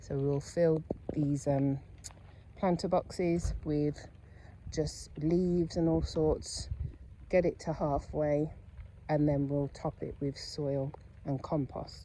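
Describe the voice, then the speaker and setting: A woman with a British accent speaks at a very slow pace, her pitch very deep and low. Her intonation is fairly even, with long, frequent pauses. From England. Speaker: lifestyle vlogger. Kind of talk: casual vlog narration.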